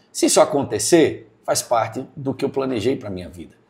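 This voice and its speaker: Vocal fry marks a man's medium-pitched voice on a very clean recording with a silent background. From Sergipe, Brazilian Northeast. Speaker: police chief and state legislator. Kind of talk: podcast interview.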